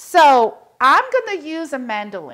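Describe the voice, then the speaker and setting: The voice has a bright, sharp tone over a quiet background. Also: woman. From Belgium. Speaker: cooking show host. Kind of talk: cooking tutorial. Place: kitchen.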